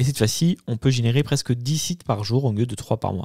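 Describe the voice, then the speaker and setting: A man's medium-pitched voice with a dark, mellow tone and ordinary pitch variation, dry and close with no echo, on a very clean recording with a silent background. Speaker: YouTube tech tutorial creator. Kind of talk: tutorial. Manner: fast; hesitant, many fillers.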